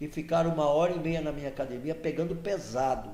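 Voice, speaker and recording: Vocal fry in a dark, mellow tone, with audible room echo. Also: man. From Santos, São Paulo coast, Brazil. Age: 70s. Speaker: regional political association executive. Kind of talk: podcast interview, casual chat.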